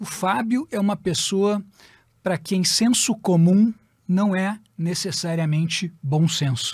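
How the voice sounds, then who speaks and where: The speech moves at a very slow pace with long, frequent pauses and ordinary pitch variation. The sound is dry with no echo, over a quiet background. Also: man. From Porto Alegre, southern Brazil; Rio Grande do Sul, Brazil. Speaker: tax lawyer; podcast guest, tax lawyer. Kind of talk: interview storytelling. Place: studio. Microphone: studio mic.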